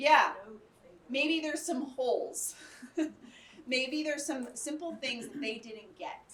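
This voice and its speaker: Speaking with an American accent, a woman uses a high pitch with ordinary variation at a fairly slow pace, leaving long, frequent pauses. Her loudness swings widely, and room echo is audible. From Arkansas, US South. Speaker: educator, conference speaker. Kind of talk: workshop lecture with audience discussion. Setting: conference room with live audience.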